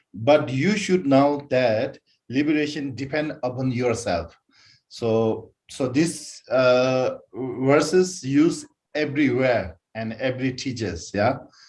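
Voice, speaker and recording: A man with a non-native accent at a very slow pace, medium pitch and ordinary pitch variation. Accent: non-native English speaker. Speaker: Buddhist teacher. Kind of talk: dharma teaching. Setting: online broadcast with concurrent translation. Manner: halting, many fillers.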